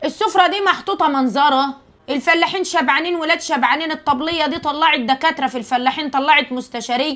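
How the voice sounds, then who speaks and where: Her high-pitched voice moves at a fairly quick pace. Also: ordinary pitch variation. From rural Egypt. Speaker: social media creator. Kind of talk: casual monologue to viewers. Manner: animated.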